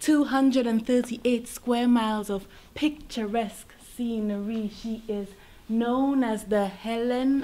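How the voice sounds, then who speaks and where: Fairly high in pitch, a woman talks with ordinary pitch variation. Audible room echo is present. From Saint Lucia. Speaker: spoken word poet. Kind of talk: spoken word performance. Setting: stage with audience at museum event.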